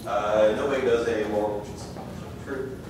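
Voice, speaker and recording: A man amid loud background noise, with audible room echo. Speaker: conference presenter. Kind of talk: lecture. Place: hall.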